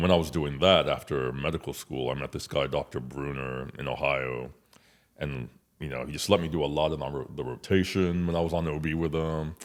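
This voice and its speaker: Speaking at a fairly quick pace with an American accent, a man uses a very deep, low pitch with vocal fry and ordinary pitch variation. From Nigeria, then California and Indiana, US. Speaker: OB-GYN physician. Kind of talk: casual interview.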